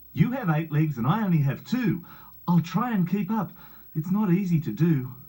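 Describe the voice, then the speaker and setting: In a put-on character voice, a man speaks with a sing-song lilt and a high pitch. His pace is moderate. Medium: read story. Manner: sing-song rhyming.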